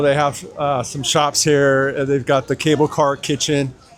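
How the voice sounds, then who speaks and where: Noticeable background noise surrounds a man whose pitch is fairly high. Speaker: theme park travel vlogger. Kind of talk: casual vlog narration. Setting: walking in theme park. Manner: hesitant, many filler words.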